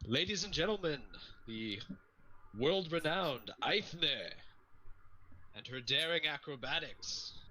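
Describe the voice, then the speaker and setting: With long, frequent pauses and big swings in loudness, a put-on character voice unfolds at a fairly slow pace with lively intonation. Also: man, fairly high pitch for a man. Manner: grandiose, theatrical.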